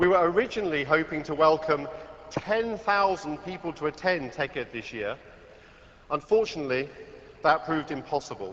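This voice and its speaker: Against noticeable background noise, a man with a fairly high pitch talks at a moderate pace with lively intonation and long, frequent pauses. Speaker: tech company executive. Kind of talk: conference keynote opening. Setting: stage with audience.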